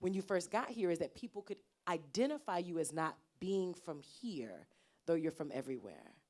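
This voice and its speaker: Speaking at a moderate pace, a woman has a normal speaking voice with a fairly low pitch. She has an American accent and lively intonation. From US South. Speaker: Q&A moderator. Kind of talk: panel Q&A.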